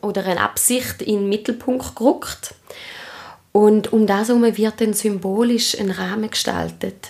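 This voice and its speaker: A woman speaks with an Appenzell accent and a fairly high pitch. Her intonation is fairly even, and there is noticeable background noise. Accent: Swiss German (Appenzell). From Switzerland, Appenzell. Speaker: trauma therapist and ritual leader. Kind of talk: interview. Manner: hesitant, many fillers.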